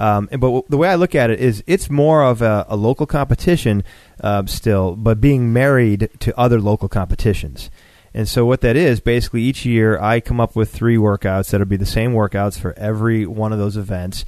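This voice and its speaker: Using an unremarkable speaking voice with an American accent, a man talks at a fairly quick pace in a medium pitch with ordinary pitch variation, the sound dry and close with no echo. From Buffalo, New York. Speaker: competition organizer. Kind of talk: casual interview chat.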